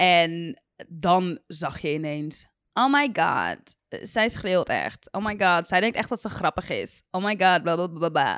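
Speaking very slowly, a woman uses lively intonation at a fairly low pitch. The sound is dry and close, with no echo. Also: very clean recording, silent background. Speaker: YouTuber. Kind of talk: casual chat. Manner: sounds sarcastic even when enthusiastic.

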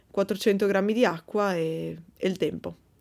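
Very clean and silent in the background, this recording has a woman speaking at a medium pitch. She goes at a very slow pace with fairly even intonation. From Verona, northern Italy. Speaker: podcast host, bread baker. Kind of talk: casual Q&A monologue. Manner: hesitant, many fillers.

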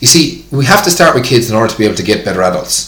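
Amid noticeable background noise and audible room echo, a man with an Irish accent talks with very wide pitch swings. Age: 40s. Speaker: fitness tutor. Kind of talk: casual interview.

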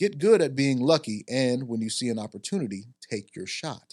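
Over a quiet background, a man with an ordinary speaking voice talks at a moderate pace and a medium pitch. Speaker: podcast host. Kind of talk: casual chat. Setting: studio.

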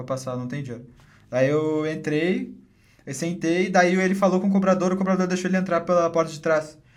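Audible room echo surrounds a man with a high pitch. He talks at a fairly quick pace with ordinary pitch variation. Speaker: podcast host. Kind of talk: casual chat; sponsor read.

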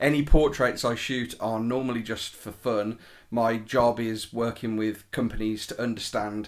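A man with a British accent, fairly low pitch and monotone, flat intonation on a very clean recording with a silent background. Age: 30s. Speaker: portrait photographer. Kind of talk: casual chat.

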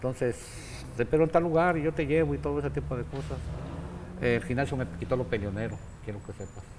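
A man's medium-pitched voice at a very fast pace, with very wide pitch swings, vocal fry, and long, frequent pauses. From Mexico, Jalisco (Guadalajara), raised in Mexicali. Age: 70s. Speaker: boxing trainer. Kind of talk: casual interview. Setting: boxing gym.

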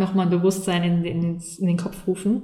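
Heard with audible room echo and noticeable background noise, a woman speaks at a medium pitch. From Saarland, Germany. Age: 30s. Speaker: mindfulness coach. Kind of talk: casual interview. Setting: in person, recorded together on site.

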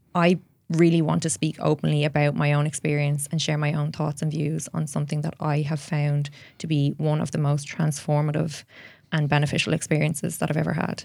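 A woman's very deep, low voice with an Irish accent, monotone and flat, at a fairly quick pace. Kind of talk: interview conversation.

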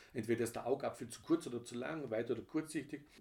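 A man talks at a very fast pace, and his voice is somewhat breathy. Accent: slight Vorarlberg. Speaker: podcast co-host, father of the other host. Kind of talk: casual chat.

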